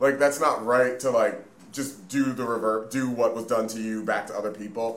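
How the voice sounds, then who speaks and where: There is audible room echo as a man at a medium pitch speaks at a moderate pace with fairly even intonation. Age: 20s. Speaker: podcast co-host. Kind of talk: casual chat.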